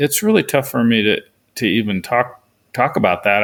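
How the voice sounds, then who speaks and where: The recording is very clean, and the background is silent. A man talks in a fairly low pitch. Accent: Pacific Northwest. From western Oregon, US. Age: 70s. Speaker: author and sheep hunter. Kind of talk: interview. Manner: hesitant with repetitions.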